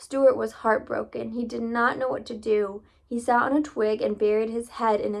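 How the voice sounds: The voice reads in a natural way. It is a natural reading voice.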